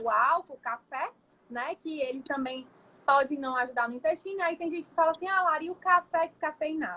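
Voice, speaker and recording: Lively in intonation, a woman's raised, projected voice carries a bright, sharp tone at a moderate pace. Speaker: nutritionist. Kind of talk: livestream lecture. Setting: live stream.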